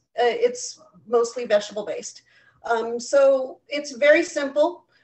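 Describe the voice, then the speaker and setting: Speaking at a very slow pace with an American accent, the voice shows ordinary pitch variation. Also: woman. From US West Coast, San Jose, California. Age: 50s. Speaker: home cook, recipe demonstrator. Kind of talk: cooking tutorial. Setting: video call. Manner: hesitant, many fillers.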